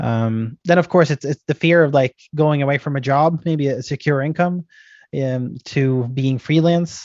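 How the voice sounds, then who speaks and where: A man with an American accent talks at a moderate pace, his fairly high voice keeping a fairly even intonation. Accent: sounds very American. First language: not English. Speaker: IT entrepreneur. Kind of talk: talk giving advice at a meeting. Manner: halting, many fillers and repetitions.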